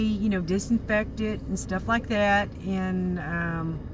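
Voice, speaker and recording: A woman speaks at a fairly slow pace. Audible room echo fills the recording. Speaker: YouTuber. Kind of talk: casual vlog monologue. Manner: rambling, halting with many fillers.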